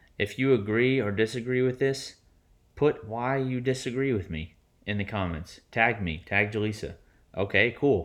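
In a quiet background, a man with a normal speaking voice talks at a medium pitch and moderate pace, with ordinary pitch variation. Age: 30s. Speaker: podcast co-host. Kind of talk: casual chat.

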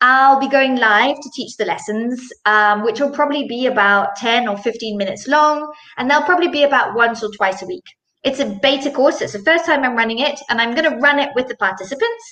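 A woman speaks at a fairly quick pace in a raised, projected voice, her high pitch rising and falling in an ordinary way. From Zimbabwe. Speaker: Pilates instructor. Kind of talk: interview conversation. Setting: live video stream.

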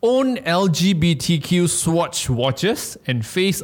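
A man with a Malaysian accent talks with lively intonation. The recording is very clean, with a silent background. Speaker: podcast co-host. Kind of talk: casual chat.

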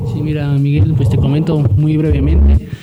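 A man speaks at a fairly quick pace in a fairly high voice, with noticeable background noise behind him. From Central Valleys of Oaxaca, Mexico. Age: 20s. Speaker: lawyer and party youth coordinator. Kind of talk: radio interview.

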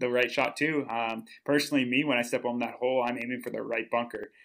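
Talking fairly quickly with an American accent, a man keeps a medium pitch and a monotone, flat intonation. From Minnesota. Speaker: professional disc golfer. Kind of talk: casual chat.

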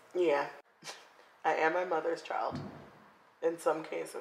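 A woman's fairly low voice with a South Florida accent, at a fairly slow pace. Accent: South Florida American. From South Florida (Broward County). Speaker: podcast co-host. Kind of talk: casual chat.

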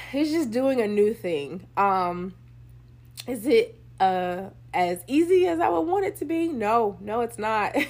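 A woman speaks fairly high in pitch, with very wide pitch swings, at a fairly slow pace. The recording is very clean, with a silent background. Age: 30s. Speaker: podcast host. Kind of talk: casual monologue. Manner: casual, many filler ums.

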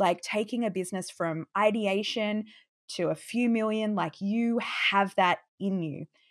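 A normal speaking voice, fairly slow and fairly even in intonation, on a very clean recording with a silent background. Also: woman, medium pitch for a woman. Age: 30s. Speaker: business founder and online course coach. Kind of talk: interview.

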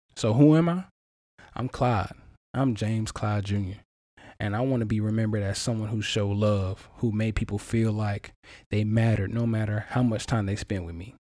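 On a very clean recording with a silent background, a man with a fairly low pitch speaks at a moderate pace with fairly even intonation. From US South, eastern North Carolina. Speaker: podcast host. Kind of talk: personal testimony monologue. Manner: casual, conversational.

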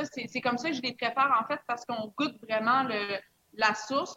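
A bright, sharp tone in a Quebec accent, with fairly even intonation and a fairly slow pace. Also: woman. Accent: Québécois French. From Quebec, small village. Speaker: mixologist. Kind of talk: casual interview with tasting.

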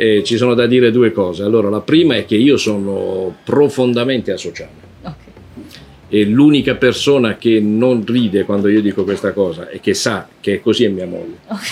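A man talks at a moderate pace and medium pitch with ordinary pitch variation. Noticeable background noise is present. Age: 60s. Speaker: anthropologist and author. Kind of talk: interview.

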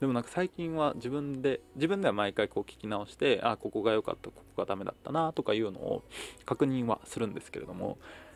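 A man mumbles at a fairly quick pace, his loudness swinging widely. The sound is dry and close, with no echo. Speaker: podcaster and performer. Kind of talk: solo diary monologue. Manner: mumbling; fast.

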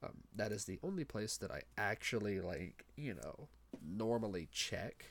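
Using lively intonation, a man with a fairly low pitch speaks with vocal fry. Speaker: podcast host. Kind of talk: solo monologue. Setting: home recording with headset mic. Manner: fast talker; halting, many fillers and restarts.

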